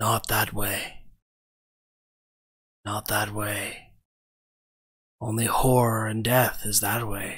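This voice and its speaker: Putting on a character voice, a man speaks at medium pitch in a raspy, rumbling tone. His pace is very slow, with long, frequent pauses. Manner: menacing, warning.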